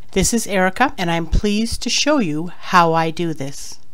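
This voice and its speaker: A woman speaks at medium pitch with lively intonation. Audible room echo surrounds her voice. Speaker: online business blogger. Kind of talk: tutorial. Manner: fast.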